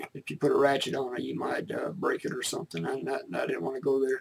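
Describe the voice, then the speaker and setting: The speaker is a man. He keeps to a moderate pace. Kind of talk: tutorial intro chat. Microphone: webcam.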